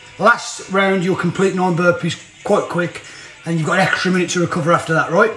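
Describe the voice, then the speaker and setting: Over clear background music and audible room echo, a man talks at a very fast pace in a high pitch. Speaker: fitness trainer. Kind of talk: workout tutorial. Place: home room. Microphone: phone near.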